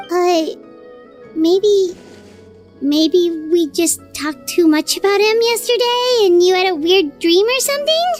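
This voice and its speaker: With faint music in the background, someone puts on a character voice at an extremely high pitch, speaking at a fairly slow pace. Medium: machinima. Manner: excitable.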